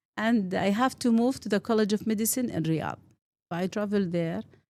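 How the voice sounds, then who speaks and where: With a Saudi accent, the speaker has a dark, mellow tone and ordinary pitch variation. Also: woman. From Saudi Arabia, Eastern Province. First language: Arabic. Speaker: pediatric pulmonologist. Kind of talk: interview.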